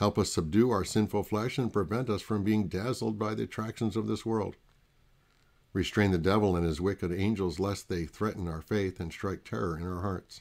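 On a very clean recording with a silent background, a man with a plain, everyday voice and a fairly low pitch talks at a moderate pace with ordinary pitch variation. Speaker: pastor. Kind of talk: prayer; devotional talk with scripture reading.

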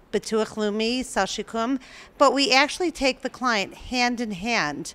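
A woman with a fairly high pitch speaks at a fairly slow pace with ordinary pitch variation. Her tone is clear, smooth and fairly bright.

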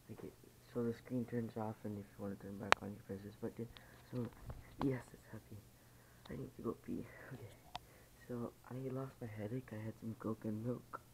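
Over noticeable background noise, a man speaks at a moderate pace in a somewhat breathy, flat monotone. He leaves long, frequent pauses. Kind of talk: casual vlog chat. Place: home room. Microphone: phone near.

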